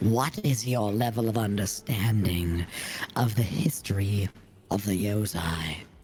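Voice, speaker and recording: A man puts on a character voice with a fairly low pitch. He speaks at a fairly slow pace with very even loudness. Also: ordinary pitch variation. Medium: actual play. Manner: inquisitive, scholarly.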